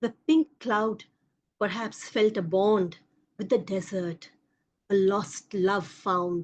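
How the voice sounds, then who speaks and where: Speaking very slowly with a Bengali accent, a woman at medium pitch leaves long, frequent pauses. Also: ordinary pitch variation. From India, Kolkata. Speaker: poet. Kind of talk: poetry reading.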